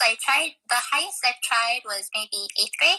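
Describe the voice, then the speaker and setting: Speaking at a moderate pace with an American accent, a woman has a high pitch and a bright, sharp tone. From Texas. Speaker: education student. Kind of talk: casual chat. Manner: halting.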